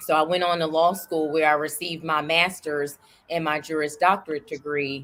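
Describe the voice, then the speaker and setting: At a moderate pace, a woman with an American accent speaks in a very deep, low voice with monotone, flat intonation. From New York City, Harlem. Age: 40s. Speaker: political candidate. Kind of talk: interview.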